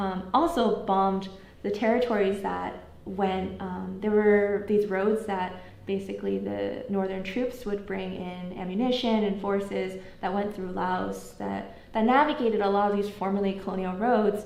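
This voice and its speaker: A woman's voice is heard with audible room echo and noticeable background noise. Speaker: history lecturer. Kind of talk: lecture with Q&A. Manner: fast.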